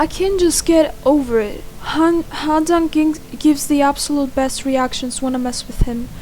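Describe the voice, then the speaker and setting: The voice moves at a moderate pace with ordinary pitch variation over noticeable background noise. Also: woman, high pitch for a woman. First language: Greek. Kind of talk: reading game text aloud with commentary.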